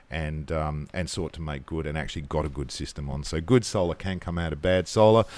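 A very deep, low-pitched man speaks at a moderate pace with ordinary pitch variation. The recording is very clean, with a silent background. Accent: Australian. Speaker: podcast co-host, solar industry veteran. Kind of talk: casual chat. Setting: hotel room.

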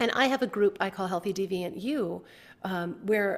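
A plain, everyday voice with an American accent and lively intonation, on a very clean recording with a silent background. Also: woman. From US, grew up on a family farm. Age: 50s. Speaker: health journalist and author. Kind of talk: interview conversation.

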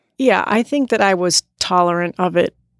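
A woman's medium-pitched voice with ordinary pitch variation, dry and close with no echo, on a very clean recording against a silent background. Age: 40s. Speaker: podcast guest, host's wife. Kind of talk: casual chat.

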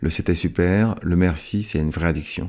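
A man's intonation stays fairly even. The recording is very clean, and the background is silent. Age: 50s. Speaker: events and live performance worker sharing life story. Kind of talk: personal testimony. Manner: halting, with frequent hesitations.

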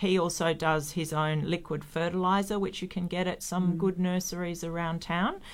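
A woman speaks at a moderate pace in a fairly low, flat monotone, with hardly any pauses. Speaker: soil company gardening expert. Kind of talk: casual radio chat. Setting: studio.

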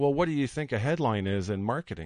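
A man with a normal speaking voice uses lively intonation at a moderate pace against a quiet background. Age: 40s. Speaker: storyteller and marketing entrepreneur. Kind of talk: radio interview. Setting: studio.

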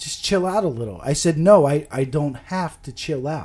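A man with a fairly high pitch speaks in a dark, mellow tone that is somewhat breathy. His intonation is lively. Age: 40s. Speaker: podcaster. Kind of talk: casual chat.

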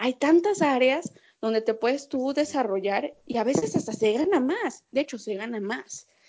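At a moderate pace, a woman with a Mexican accent speaks in a high pitch with very wide pitch swings. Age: 20s. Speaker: sports journalist. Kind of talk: casual chat.

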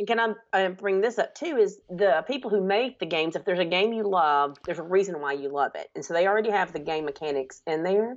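At a very fast pace and with hardly any pauses, a woman with medium pitch talks with lively intonation. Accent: Southern US. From US South (Alabama). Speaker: teacher. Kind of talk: casual chat.

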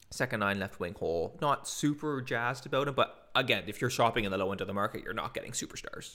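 Speaking very fast with hardly any pauses, a man has a bright, sharp tone. His voice sits at a medium pitch with ordinary pitch variation. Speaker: hockey podcast host. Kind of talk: casual chat.

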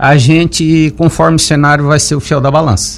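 Noticeable background noise is present. Over it, a man speaks at a fairly slow pace. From Lauro Müller, Santa Catarina, southern Brazil. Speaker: businessman and local party president. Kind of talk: radio interview. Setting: radio studio. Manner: hesitant, many fillers and repetitions.

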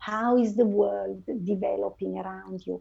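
In an Italian accent, a woman is talking. She keeps to a fairly slow pace. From northern Italy. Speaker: finance and IT transformation leader. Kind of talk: interview.

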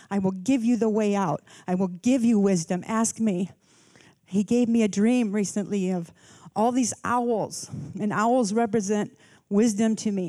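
Using an ordinary speaking voice, a woman talks at a fairly slow pace in a medium pitch. Her loudness is very even and her intonation fairly even. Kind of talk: fervent prayer. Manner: intimate, fervent, visionary.

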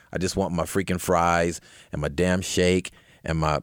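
On a very clean recording with a silent background, a man with an American accent and a very deep, low pitch speaks at a moderate pace, with vocal fry. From Compton, California. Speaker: podcast host. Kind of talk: casual political chat.

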